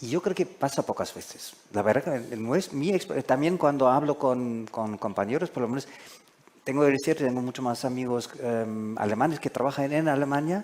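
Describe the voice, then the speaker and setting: With noticeable background noise behind him, a man speaks at a medium pitch and a moderate pace with ordinary pitch variation. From Germany. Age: 60s. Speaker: foreign correspondent. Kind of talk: panel discussion. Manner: halting.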